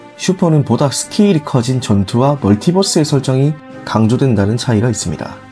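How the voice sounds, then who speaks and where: Music plays behind a man speaking at a moderate pace. His voice sits at a medium pitch with lively intonation. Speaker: anime commentary narrator. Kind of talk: anime explainer narration.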